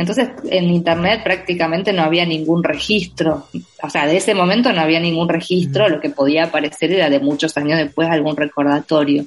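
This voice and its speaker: Noticeable background noise behind a woman's fairly low voice, very even in loudness, with ordinary pitch variation. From Argentina, Entre Ríos province (Villa Elisa). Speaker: novelist. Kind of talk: interview. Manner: halting, many repetitions and fillers.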